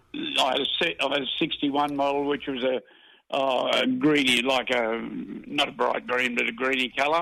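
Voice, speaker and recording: A man with an Australian accent speaks at a moderate pace, his loudness very even. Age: 80s+. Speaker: caller, retired motor trade worker. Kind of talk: casual chat.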